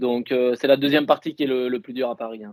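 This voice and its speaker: Talking at a very fast pace, a man with a southwestern French accent keeps a monotone, flat intonation. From southwest France, Dordogne (Bergerac). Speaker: elite marathon runner. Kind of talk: interview. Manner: hesitant, many fillers.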